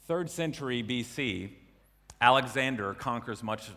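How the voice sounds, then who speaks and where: A man's bright, sharp voice with an American accent. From US South. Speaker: preacher. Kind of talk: sermon.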